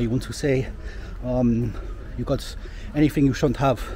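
In a dry sound with no echo, a man with an English accent talks over light background noise. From England. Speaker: travel vlogger. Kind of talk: vlog narration. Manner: casual, halting with fillers. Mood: amused, recounting anecdote. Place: street. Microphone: phone near.

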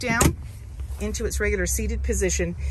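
A woman talking at a fairly quick pace, dry with no echo, over noticeable background noise. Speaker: car dealership salesperson. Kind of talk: product walkaround commentary. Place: car. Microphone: phone near.

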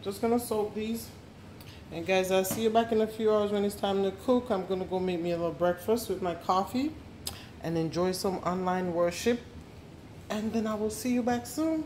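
A woman speaks at a moderate pace in a medium pitch, her tone slightly mellow and her pitch varying in an ordinary way over faint background noise.

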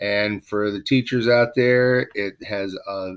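Natural reading voice

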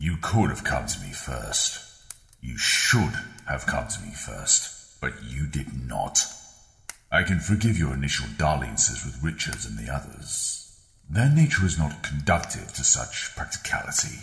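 With a clear echo behind him, a man talks at a moderate pace in a very deep, low voice whose pitch swings very widely and whose loudness rises and falls in big swings. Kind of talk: grand theatrical villain speech. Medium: voice reel. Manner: imperious, cold, contemptuous.

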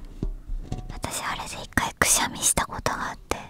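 A woman whispers, soft-spoken, at a moderate pace. The sound is dry with no echo, and clear music plays in the background. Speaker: streamer. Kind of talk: soft casual ASMR chat. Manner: soft whisper into close mic. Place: studio. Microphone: studio mic.

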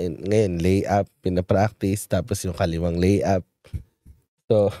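A man's dark, mellow tone sounds dry with no echo, against a quiet background. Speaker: show host and media producer; show host. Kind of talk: casual chat. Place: studio. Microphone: studio mic.

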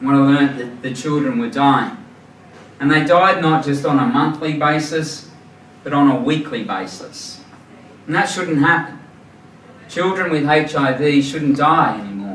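A fairly high-pitched man with an Australian accent speaks at a fairly slow pace with long, frequent pauses, amid audible room echo and light background noise. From New South Wales, Australia. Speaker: charity founder, former forensic police officer. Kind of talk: presentation to a club audience. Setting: live audience at a club dinner. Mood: earnest, moved. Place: hall.

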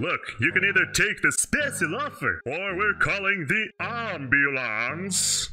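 Doing a put-on character voice, a man speaks high for a man at a fairly slow pace with hardly any pauses. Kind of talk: comic overacting. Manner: pushy sales pitch.

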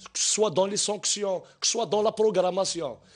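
The quiet background carries a man's high-pitched voice. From Algeria. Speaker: sports journalist. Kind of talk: TV panel debate. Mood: indignant, critical. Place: studio. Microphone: lapel.

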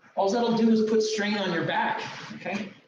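There is audible room echo and light background noise. The speech moves at a moderate pace. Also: man. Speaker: fitness trainer. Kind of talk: tutorial. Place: gym. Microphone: camera far.

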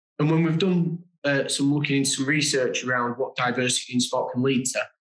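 A man with a British accent at a fairly high pitch, moderate pace and ordinary pitch variation, with audible room echo over a quiet background. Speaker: diversity and inclusion manager. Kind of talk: webinar presentation. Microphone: webcam.

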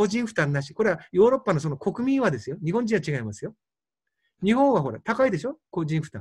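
Here is a man with a high pitch and lively intonation. He talks at a very fast pace. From Fukushima, Japan. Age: 60s. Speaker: doctor. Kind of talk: lecture.

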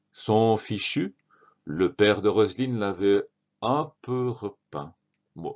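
Calm in tone, a man with a fairly low pitch speaks at a very slow pace. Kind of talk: audiobook narration of a children's story. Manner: calm, measured storyteller's delivery.

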